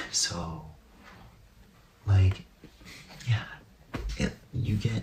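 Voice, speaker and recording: With lively intonation, a man talks in a normal speaking voice that sits fairly low in pitch. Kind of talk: ASMR soft-spoken ramble about movies, casual talk to camera. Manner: soft-spoken, whispery, relaxed.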